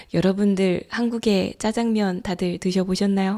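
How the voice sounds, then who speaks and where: At a fairly slow pace, a woman speaks at a medium pitch with a dark, mellow tone, in a very clean recording with a silent background. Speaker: Korean language teacher. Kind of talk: language-learning podcast. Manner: clear, slow.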